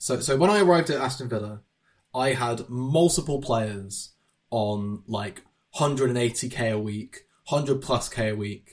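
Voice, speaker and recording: Somewhat breathy, the man speaks at a medium pitch. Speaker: podcast host. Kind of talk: casual chat.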